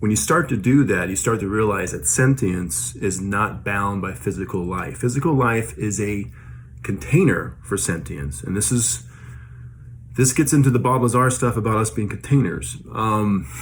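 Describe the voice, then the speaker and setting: This man has a fairly low pitch and vocal fry. His pitch swings very widely, and room echo is audible. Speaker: vlogger sharing paranormal experiences. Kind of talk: casual monologue. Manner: fast; hesitant, many fillers.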